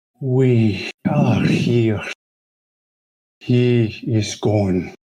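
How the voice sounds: A man's put-on character voice at medium pitch.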